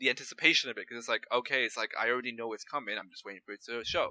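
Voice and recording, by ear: A man speaks loudly in a bright, sharp tone, recorded with a dry, close sound and no echo.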